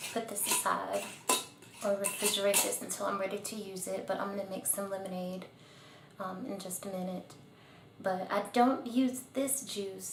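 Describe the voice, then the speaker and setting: A soft-spoken woman with a relaxed tone, fairly even intonation and a moderate pace, over noticeable background noise. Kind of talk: ASMR-style tutorial talking to camera. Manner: soft-spoken, relaxed.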